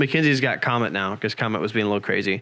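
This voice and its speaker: The voice has a bright, sharp tone and an American accent. It moves at a very fast pace with ordinary pitch variation. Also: man. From Midwest US (Lafayette, Indiana). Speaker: podcast host. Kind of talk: casual chat.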